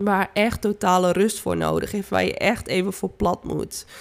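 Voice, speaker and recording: The recording is very clean, with a silent background. A woman speaks at a fairly slow pace and medium pitch, in a monotone, flat intonation. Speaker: therapist, coach and healer podcaster. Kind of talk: spiritual monologue podcast.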